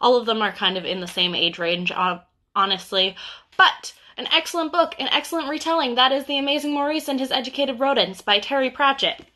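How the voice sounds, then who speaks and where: Projecting her raised voice, a woman speaks at a very fast pace with a high pitch. Her tone is bright and sharp, with very wide pitch swings. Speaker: bookseller. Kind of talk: casual book recommendations livestream. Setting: Instagram live stream.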